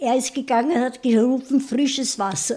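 A woman with a Viennese accent speaks at a fairly slow pace in a dark, mellow tone. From Vienna, Austria. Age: 90s. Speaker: retired primary school teacher. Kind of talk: life story interview.

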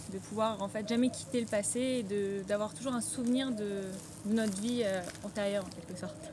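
A woman at medium pitch and moderate pace, amid noticeable background noise and audible room echo. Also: ordinary pitch variation. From France. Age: 20s. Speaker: wedding photographer. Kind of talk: interview. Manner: halting, many fillers.

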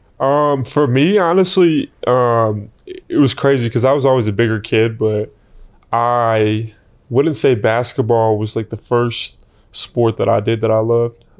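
In a normal speaking voice at a medium pitch, a man speaks at a fairly slow pace with very even loudness and ordinary pitch variation against a quiet background. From Vancouver, Canada. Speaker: college basketball player. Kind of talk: casual interview.

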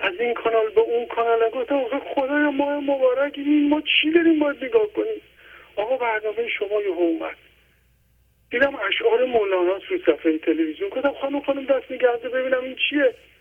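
Speaking at a fairly quick pace, a man uses an extremely high pitch with very wide pitch swings. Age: 50s.

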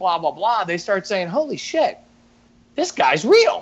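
A man is speaking. He has a New York accent. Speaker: recruiter and public speaker. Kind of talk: casual chat.

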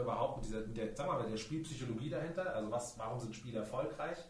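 Through noticeable background noise and audible room echo, a man talks at a very fast pace with ordinary pitch variation. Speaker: podcast host. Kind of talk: interview. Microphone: poorly set up equipment, voice hard to understand at times.

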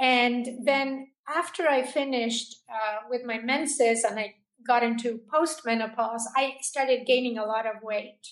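A high-pitched female voice at a fairly slow pace, with fairly even intonation. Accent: Spanish. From Argentina. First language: Spanish. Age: 60s. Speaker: holistic health coach. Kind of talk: interview.

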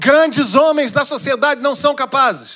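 This man's voice sits extremely high and carries a bright, sharp tone. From Rio de Janeiro state, Duque de Caxias. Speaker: pastor. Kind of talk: sermon. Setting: church.

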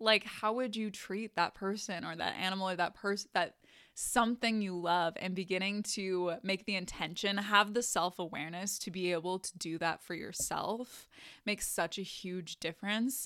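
Her intonation stays fairly even. The recording is very clean, and the background is silent. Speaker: podcast host and mindset coach. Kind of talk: casual solo monologue. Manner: slow with pauses; frequent laughter.

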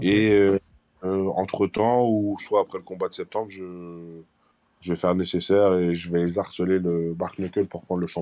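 A man's very deep, low voice carries a dark, mellow tone with monotone, flat intonation. He speaks at a moderate pace against a quiet background. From France, Portuguese community. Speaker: MMA fighter. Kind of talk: casual interview.

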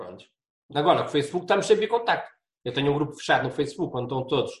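Lively intonation from a man with a somewhat breathy, fairly high voice. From Portugal, Braga. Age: 50s. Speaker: university professor and travel blogger. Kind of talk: podcast interview.

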